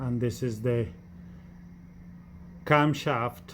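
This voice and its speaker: Fairly even intonation marks this man's speech in a non-native accent. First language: not English. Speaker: car mechanic. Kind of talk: tutorial. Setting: garage workshop. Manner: halting, many fillers.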